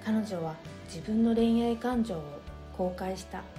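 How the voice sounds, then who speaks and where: Over music in the background, a woman speaks at a medium pitch in a calm, soothing tone with ordinary pitch variation. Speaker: essay reader / narrator. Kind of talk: essay reading, relaxing bedtime story. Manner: soft, calm, soothing.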